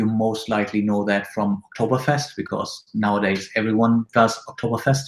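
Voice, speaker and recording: Speaking in a German accent at a moderate pace with hardly any pauses, the voice holds a monotone, flat intonation amid audible room echo. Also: man. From northern Germany, near Bremen; northern Germany. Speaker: web agency CEO; interview guest. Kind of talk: interview. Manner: hesitant, many fillers. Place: home room.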